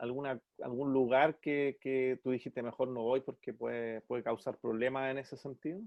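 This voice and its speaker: With a Chilean accent, a man speaks at a medium pitch, his intonation fairly even and hardly any pauses between words. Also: moderate pace. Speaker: podcast host, musician. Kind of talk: casual interview.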